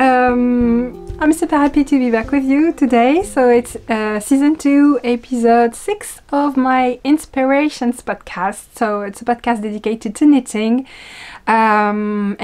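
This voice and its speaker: A woman's high-pitched voice in a strong French accent, fairly slow in pace, with ordinary pitch variation. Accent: thick French. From France. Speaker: knitting and yarn-dyeing podcast host. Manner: casual, frequent hesitation fillers.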